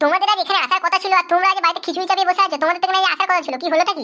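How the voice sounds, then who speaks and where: Squeaky and extremely high, a woman's cartoonish character voice races along very fast with fairly even intonation. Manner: fast, scolding.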